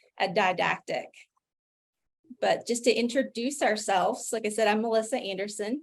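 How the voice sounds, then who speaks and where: A woman in an Appalachian accent at a moderate pace. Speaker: physician pharmacist, health policy director. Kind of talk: virtual forum presentation. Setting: video call.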